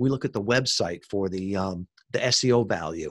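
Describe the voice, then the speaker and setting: The recording is very clean with a silent background. Intonation is lively. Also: man. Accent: American. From US Midwest, Chicago suburbs. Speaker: podcast marketing entrepreneur, Navy veteran. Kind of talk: podcast interview.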